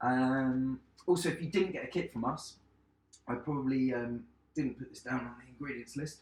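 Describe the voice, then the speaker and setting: Loud and at a moderate pace, a man with a medium pitch speaks with ordinary pitch variation. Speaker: chef. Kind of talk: cooking tutorial livestream. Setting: home kitchen, live stream.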